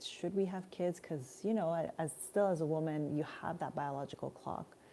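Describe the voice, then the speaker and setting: The voice has a dark, mellow tone in a Montreal accent. Its intonation stays fairly even. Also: woman. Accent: Canadian English (Montreal). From Montreal, Canada. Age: 40s. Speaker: spiritual life coach. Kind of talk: live stream Q&A. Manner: casual, conversational.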